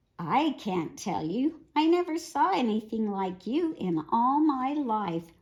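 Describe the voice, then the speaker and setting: Delivered in a put-on character voice, the speech moves at a fairly slow pace with very wide pitch swings and hardly any pauses. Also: woman, high pitch for a woman. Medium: read story. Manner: teasing.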